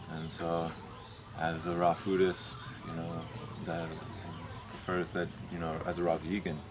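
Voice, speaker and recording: A soft-spoken man talks at a moderate pace with a very deep, low pitch. Audible room echo and noticeable background noise fill the recording. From moved around US: Maryland, Oklahoma, Colorado, California. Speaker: raw vegan coconut worker at sanctuary. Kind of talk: casual interview. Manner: halting, many fillers.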